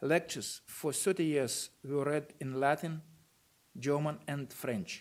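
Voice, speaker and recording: A man with a Russian accent, fairly high in pitch, with ordinary pitch variation and a fairly slow pace. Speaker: university rector giving a lecture. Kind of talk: lecture read from notes. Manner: formal.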